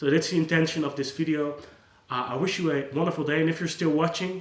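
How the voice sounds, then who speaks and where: Noticeable background noise sits behind a man speaking at a very fast pace. His fairly high pitch holds a monotone, flat intonation. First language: Dutch. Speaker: psychologist. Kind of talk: unscripted monologue. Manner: casual, with hesitations and restarts.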